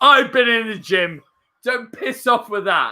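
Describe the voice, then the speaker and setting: A man's high-pitched, raised and projected voice, fairly slow, with lively intonation. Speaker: radio presenter / podcast host. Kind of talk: casual chat. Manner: loud, rowdy.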